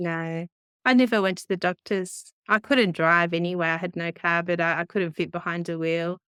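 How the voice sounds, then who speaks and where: Moderate pace, an Australian accent, and a dry, close sound with no echo in a very clean recording with a silent background. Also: woman. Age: 50s. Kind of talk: interview answer.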